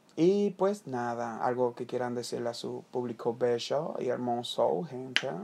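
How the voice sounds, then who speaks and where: A man speaks fairly slowly, barely pausing at all. His medium-pitched voice has lively intonation. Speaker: podcast co-host. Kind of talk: casual chat. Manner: animated.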